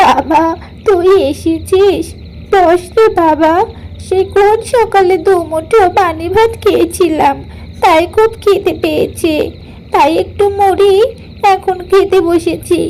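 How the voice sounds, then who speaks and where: A woman does a cartoonish character voice at an extremely high pitch and a very slow pace, with clear background noise. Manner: soft, pleading.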